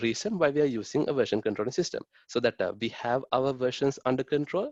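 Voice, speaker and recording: A man speaks at medium pitch and a very fast pace. The sound is dry and close, with no echo. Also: quiet background. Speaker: webinar presenter. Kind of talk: tutorial. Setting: online webinar. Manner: hesitant, many fillers.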